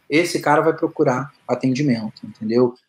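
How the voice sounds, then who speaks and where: On a very clean recording with a silent background, a man with a fairly high pitch and ordinary pitch variation has an ordinary speaking voice. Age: 40s. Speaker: orthopedic doctor. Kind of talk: casual interview chat.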